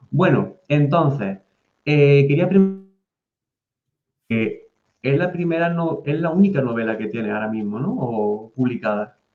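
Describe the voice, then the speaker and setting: Delivered with an Andalusian accent, the speech has lively intonation, a fairly slow pace and long, frequent pauses. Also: man, fairly high pitch for a man. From Andalusia, Spain. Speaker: podcast host. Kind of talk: interview.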